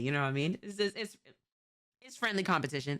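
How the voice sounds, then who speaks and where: The voice has a New York accent and a bright, sharp tone. The delivery is animated. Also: woman. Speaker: streamer reacting to videos. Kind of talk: casual reaction commentary.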